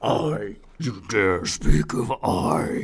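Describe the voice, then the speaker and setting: Over light background noise, a man does a put-on character voice in a fairly low pitch. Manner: dramatic, haughty.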